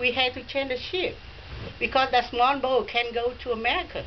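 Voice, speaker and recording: A woman speaks in a high voice. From Vietnam. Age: 60s. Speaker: immigrant mother speaking to a class. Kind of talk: personal story told to a class. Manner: halting.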